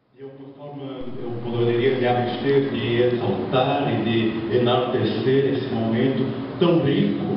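A man speaks at a fairly slow pace with ordinary pitch variation. Noticeable background noise and strong room echo surround him. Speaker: cordel poet. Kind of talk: formal ceremonial speech.

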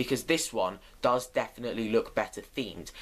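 The man's intonation is lively. He keeps to a moderate pace. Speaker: roller coaster fan vlogger. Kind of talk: casual vlog chat. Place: home room. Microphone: webcam.

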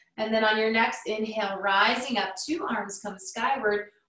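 Audible room echo surrounds a woman who talks at a moderate pace. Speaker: yoga instructor. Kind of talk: guided yoga instruction. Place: home room. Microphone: camera far.

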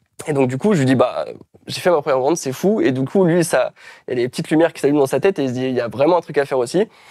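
A man talks at a very fast pace in a fairly high pitch with a dark, mellow tone and ordinary pitch variation. The sound is dry with no echo, over a quiet background. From France, various regions. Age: 20s. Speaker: self-publisher and trainer; interview guest. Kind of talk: interview. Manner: hesitant, many fillers. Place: home room. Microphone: lapel.

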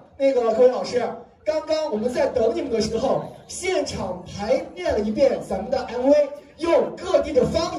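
Light noise sits in the background. The room echo is audible. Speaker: event emcee. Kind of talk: live event hosting. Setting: stage with audience. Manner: animated. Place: hall.

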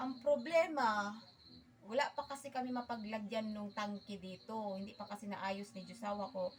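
Against noticeable background noise, a woman with a fairly high pitch talks at a moderate pace. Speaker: vlogger. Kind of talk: casual cooking vlog.

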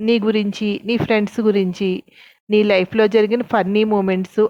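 Natural-voiced reading aloud, the intonation fairly even throughout

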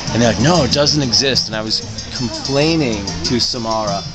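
Clear music plays in the background as a man speaks. His pace is fairly quick, with ordinary pitch variation. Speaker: reporter. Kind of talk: casual vlog chat. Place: shop.

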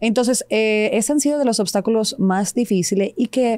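Against a quiet background, a woman's dark, mellow voice carries lively intonation and sounds dry, with no echo. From Serbia (Belgrade), moved to Dominican Republic at 13-14. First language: Serbian (speaking Spanish). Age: 30s. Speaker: TV and radio presenter; radio presenter. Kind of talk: interview. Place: studio. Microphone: studio mic.

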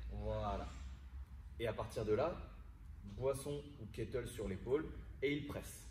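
Light background noise is present. There is audible room echo. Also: man. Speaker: fitness coach. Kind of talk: tutorial. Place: gym. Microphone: camera far.

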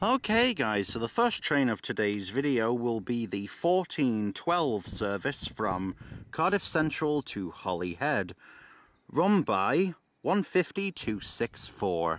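In a dry recording with no echo, a man speaks at a very slow pace while his pitch swings very widely. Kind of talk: casual vlog chat. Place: open country. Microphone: phone near.

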